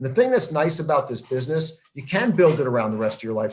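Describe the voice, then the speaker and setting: A man with an American accent speaks at a very fast pace, his voice somewhat breathy. His pitch is fairly high. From New Jersey. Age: 60s. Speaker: network marketing entrepreneur. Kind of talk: interview.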